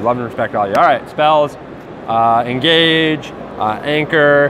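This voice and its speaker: Over noticeable background noise, a man talks in a fairly high pitch with lively intonation. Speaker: card game player. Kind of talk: casual deck profile chat. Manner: halting, filler-heavy.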